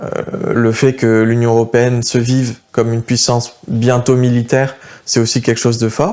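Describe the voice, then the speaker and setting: A man talks in a medium pitch with flat, monotone intonation. His pace is moderate and his loudness very even. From France. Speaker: political youth activist. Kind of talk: interview. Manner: hesitant, many fillers.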